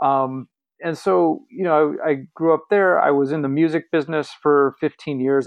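A man talks at a moderate pace with an American accent. He has an ordinary speaking voice and ordinary pitch variation. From Los Angeles, West Hollywood. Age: 40s. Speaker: empowerment coach. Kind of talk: interview.

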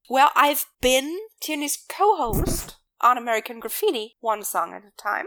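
With a German accent, a woman speaks at a moderate pace in a high voice, her pitch swinging very widely and her loudness rising and falling sharply. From Germany. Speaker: podcast co-host. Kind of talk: casual chat.

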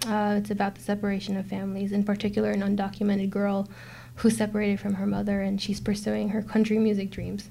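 A woman's very fast, somewhat breathy delivery, dark and mellow in tone, medium in pitch and monotone. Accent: American. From New York (Brooklyn). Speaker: film producer. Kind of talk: interview.

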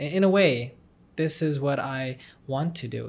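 A man speaks with an American accent at a fairly high pitch. His voice is somewhat breathy. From Texas. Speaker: medical student. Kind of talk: interview.

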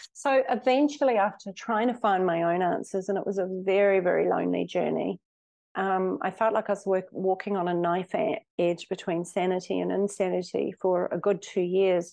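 A woman with a New Zealand accent has a dark, mellow tone and ordinary pitch variation. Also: medium pitch for a woman, moderate pace. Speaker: hypnotherapist. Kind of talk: interview.

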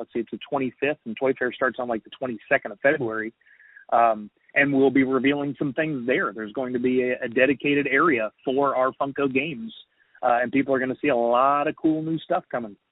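This man has an unremarkable speaking voice and an American accent. He talks at a medium pitch and a fairly quick pace, with ordinary pitch variation. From US South. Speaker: toy company marketing manager. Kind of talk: casual interview. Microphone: recorded over phone app, poor quality.

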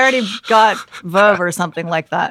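A woman with a Canadian accent speaks at a medium pitch. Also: very clean recording, silent background. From Canada, Vancouver area. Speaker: news anchor. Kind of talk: casual chat.

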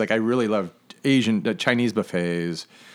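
A man with a plain, everyday voice, fairly low in pitch, at a moderate pace. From Michigan (Flint). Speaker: chef and podcast host. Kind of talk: casual chat. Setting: living room.

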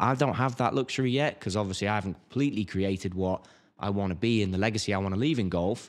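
A man with an English accent speaks very fast at a fairly low pitch. The recording is very clean, with a silent background. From England. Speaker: golf equipment marketer and YouTuber, former pro golfer. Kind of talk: casual interview chat. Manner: animated.

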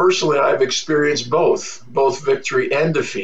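Noticeable background noise and audible room echo are present. The pace is moderate. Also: man. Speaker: pastor. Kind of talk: sermon. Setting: home office.

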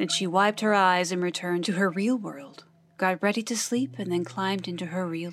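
The clip features a natural reading voice. Its intonation is fairly even.

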